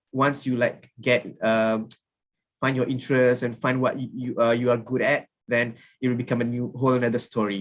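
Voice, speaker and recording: At a moderate pace, a man talks with a Malaysian accent. His pitch sits in the medium range. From Malaysia, rural kampung background. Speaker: alumni speaker, recent graduate. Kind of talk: sharing session talk to students. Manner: halting, many fillers.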